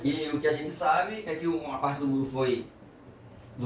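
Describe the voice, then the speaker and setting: With noticeable noise around him and audible echo in the room, a man speaks with normal ups and downs in pitch. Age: 60s. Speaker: retired metallurgical engineer. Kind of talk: podcast interview. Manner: hesitant, frequent fillers.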